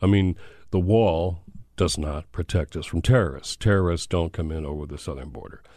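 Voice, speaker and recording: A man with an American accent, a very deep, low pitch and a dark, mellow tone, at a moderate pace with ordinary pitch variation against a quiet background. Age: old. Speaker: faith leader and activist, author. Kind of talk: interview conversation.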